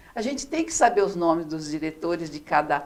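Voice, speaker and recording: A woman is speaking. Her intonation is lively. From Brazil, São Paulo state interior. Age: 60s. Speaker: former city councillor. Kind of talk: interview. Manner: halting, many fillers.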